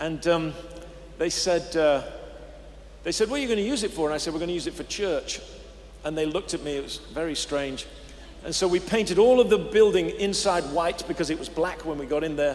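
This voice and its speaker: Using an English accent, a man speaks at a fairly quick pace with a high pitch and ordinary pitch variation. He takes long, frequent pauses. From England. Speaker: pastor. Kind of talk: interview. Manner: halting.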